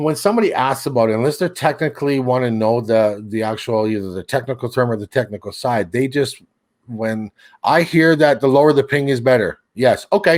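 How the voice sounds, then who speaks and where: A man talks at a fairly quick pace in a medium pitch with ordinary pitch variation, an unremarkable speaking voice. The recording is very clean, with a silent background. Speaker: seedbox and streaming tech guest. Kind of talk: casual chat.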